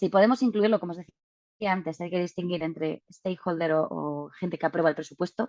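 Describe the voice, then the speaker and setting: A woman speaks at a fairly low pitch with ordinary pitch variation, in a dry, close sound with no echo. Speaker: data visualization speaker. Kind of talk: webinar presentation. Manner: fast.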